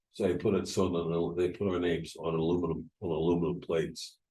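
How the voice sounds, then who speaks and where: A man speaks at a moderate pace with a very deep, low pitch. His voice is somewhat breathy, with a dark, mellow tone. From US Northeast, New York. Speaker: Holocaust survivor. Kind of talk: oral history talk. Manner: halting.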